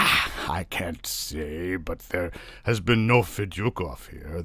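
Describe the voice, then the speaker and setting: Using a put-on character voice, a man talks at a fairly slow pace with a very deep, low pitch over light background noise. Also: ordinary pitch variation. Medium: read story. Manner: hesitant, deferential.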